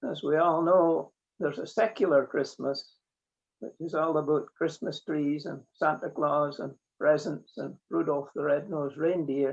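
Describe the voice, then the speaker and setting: A man speaks in a Scottish accent at a fairly slow pace. His pitch is fairly high and his intonation fairly even. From Scotland, Borders coast near Eyemouth. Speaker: mechanical engineer. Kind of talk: interview.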